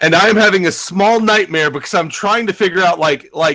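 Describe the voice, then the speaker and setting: A man speaks loudly in a bright, sharp tone. His intonation is lively and his pace moderate. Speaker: game streamer. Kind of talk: casual chat.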